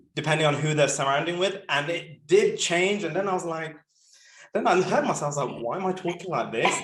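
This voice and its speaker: With audible room echo around him, a man speaks at a high pitch and a fairly quick pace. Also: ordinary pitch variation. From Birmingham, English Midlands. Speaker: podcast host. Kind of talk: casual interview chat.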